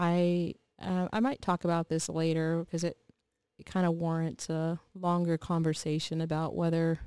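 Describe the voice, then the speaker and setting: Delivered at a moderate pace, the voice has a dark, mellow tone and monotone, flat intonation in a dry, close sound with no echo. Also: woman. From Texas. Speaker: podcast co-host, engineer and former college instructor. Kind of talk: casual chat.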